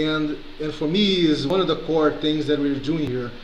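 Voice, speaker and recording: Noticeable background noise and audible room echo surround a man's voice. He speaks at a moderate pace and a fairly high pitch, with ordinary pitch variation. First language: not English. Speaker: community organizer. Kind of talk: video call discussion. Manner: halting.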